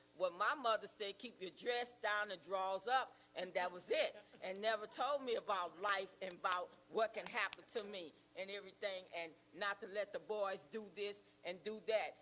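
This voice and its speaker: Moderate pace and ordinary pitch variation against noticeable background noise. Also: woman. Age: 70s. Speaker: church member sharing testimony. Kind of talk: testimony.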